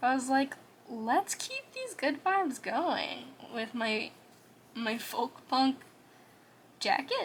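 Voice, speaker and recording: A soft-spoken woman talks at a very slow pace in a high pitch. Her pitch swings very widely. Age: 20s. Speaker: art vlogger. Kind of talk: casual chat. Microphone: quiet audio.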